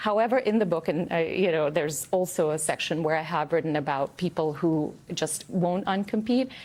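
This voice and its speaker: A woman's fairly low voice in a non-native accent, quick-paced with hardly any pauses, very even loudness, and ordinary pitch variation over noticeable background noise. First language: not English. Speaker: author. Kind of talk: TV news interview. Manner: conversational, frequent fillers.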